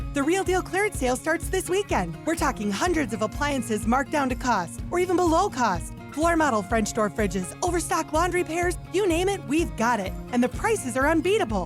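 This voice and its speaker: Over music in the background, a woman with a high pitch talks at a fairly quick pace in an upbeat tone, with very wide pitch swings, very even loudness and hardly any pauses. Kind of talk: radio commercial read. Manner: upbeat, salesy.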